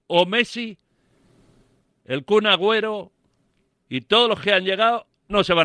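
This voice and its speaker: A bright, sharp voice is raised and projected at a fairly slow pace with long, frequent pauses, recorded dry and close with no echo on a very clean track with a silent background. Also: man. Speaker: sports radio pundit. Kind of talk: radio panel debate. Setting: radio studio.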